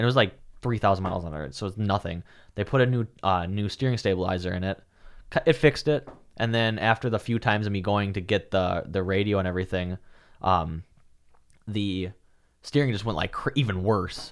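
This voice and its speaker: Speaking at a fairly quick pace with long, frequent pauses, a man with a Wisconsin accent uses a fairly low pitch and ordinary pitch variation in a very clean recording with a silent background. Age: 20s. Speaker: real estate agent. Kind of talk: casual chat.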